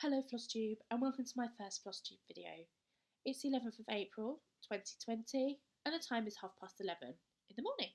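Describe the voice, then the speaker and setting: A woman with a British accent, fairly high-pitched and fairly quick, with ordinary pitch variation and big swings in loudness. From southern England. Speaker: cross-stitch vlogger. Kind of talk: casual show-and-tell vlog.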